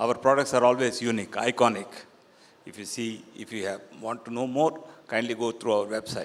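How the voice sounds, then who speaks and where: This man's delivery is fairly quick, at a medium pitch with fairly even intonation and big swings in loudness. It is an unremarkable speaking voice. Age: 60s. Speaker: real estate developer. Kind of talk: panel discussion.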